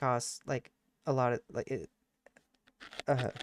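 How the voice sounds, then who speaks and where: A man speaks at a medium pitch. The sound is dry and close with no echo. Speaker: gaming YouTuber. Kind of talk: let's play commentary. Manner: fast; animated.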